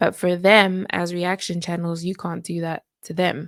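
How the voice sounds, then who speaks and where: A woman's medium pitch at a moderate pace on a very clean recording with a silent background. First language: not English. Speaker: reaction youtuber. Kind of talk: casual commentary.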